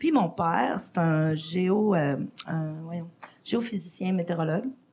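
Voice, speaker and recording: Noticeable background noise sits behind a woman's fairly low-pitched voice. She talks at a very slow pace with ordinary pitch variation. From Quebec (Lac-Saint-Jean), born in Mexico. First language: Spanish (speaking French). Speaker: podcast guest, arts organizer. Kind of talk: casual interview chat.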